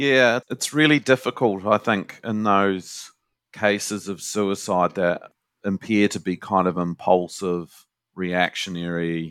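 A man with a New Zealand accent speaks at a very slow pace with a fairly low pitch and ordinary pitch variation, in a very clean recording with a silent background and a dry, close sound with no echo. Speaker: university lecturer and suicide prevention researcher. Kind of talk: interview.

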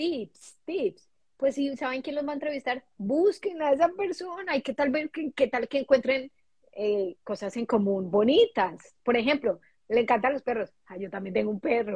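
Very wide pitch swings in a woman's high voice. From Colombia. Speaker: international graduate, HR worker. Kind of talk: casual chat.

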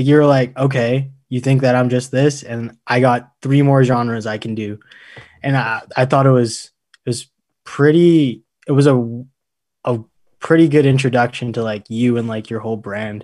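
A man talks at a moderate pace with a medium pitch, fairly even intonation and an unremarkable speaking voice. The recording is very clean, with a silent background. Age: 20s. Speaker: podcast host, university student. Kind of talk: scripted news segment; casual interview.

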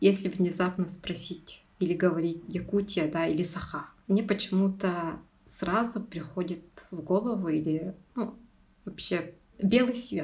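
At a fairly slow pace, a woman speaks in a somewhat breathy voice at medium pitch. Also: ordinary pitch variation. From Yakutia, rural Tatta district. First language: Sakha (Yakut) (speaking Russian). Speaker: junior researcher, eco-activist. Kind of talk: personal interview.

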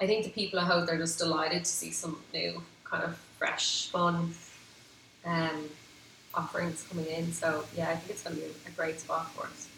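Over noticeable background noise, a woman with a Dublin accent speaks at a moderate pace in a fairly low, monotone voice with flat intonation. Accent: Dublin Irish. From Ireland, Dublin area (Howth). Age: 30s. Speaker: restaurant founder. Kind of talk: interview, casual chat.

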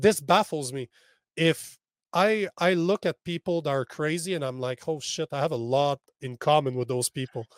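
An ordinary speaking voice, a man's with fairly high pitch and ordinary pitch variation, goes at a moderate pace in a very clean, dry, close recording with a silent background and no echo. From Canada. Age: 40s. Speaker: men's coach. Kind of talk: podcast interview.

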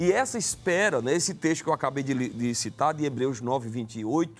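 A man talks at a moderate pace with lively intonation. He has an unremarkable speaking voice. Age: 30s. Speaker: evangelist. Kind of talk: religious talk show discussion.

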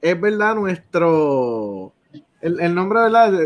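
Speaking very slowly, a man talks in a high pitch. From Puerto Rico, Salinas. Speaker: writer and anthology editor. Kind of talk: interview on a live show.

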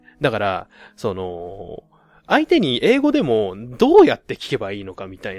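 A man at a moderate pace, with big swings in loudness and a dry, close sound with no echo. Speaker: podcast host. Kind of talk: casual solo monologue.

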